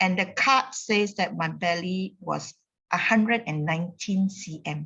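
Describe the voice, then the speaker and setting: Her voice at medium pitch with ordinary pitch variation, a woman speaks at a fairly slow pace. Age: 60s. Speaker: wellness community member. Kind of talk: testimony. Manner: energetic.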